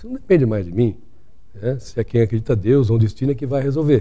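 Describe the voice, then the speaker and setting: A man's voice has a dark, mellow tone at a medium pitch. His pitch varies in an ordinary way. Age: 60s. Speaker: doctor. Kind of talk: interview.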